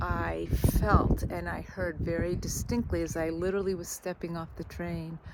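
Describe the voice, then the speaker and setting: Speaking at a moderate pace, this woman has an American accent. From United States. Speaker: spiritual vlogger. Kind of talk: personal vlog reflection. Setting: outdoors by the sea. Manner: reflective, halting.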